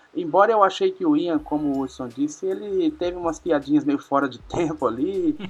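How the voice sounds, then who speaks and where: A man speaks at a moderate pace with hardly any pauses. Noticeable background noise runs underneath. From Paraná interior, Brazil. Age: 30s. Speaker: podcast guest, film fan. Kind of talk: casual chat.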